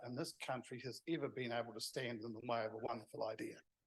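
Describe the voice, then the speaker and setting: This is a man with a New Zealand accent. His pitch is medium. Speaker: event organiser. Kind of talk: closing remarks.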